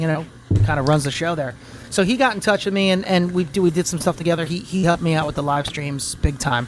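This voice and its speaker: Over noticeable background noise, a man talks at a very fast pace. His pitch is high. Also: ordinary pitch variation. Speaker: voice actor. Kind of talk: interview. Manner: halting.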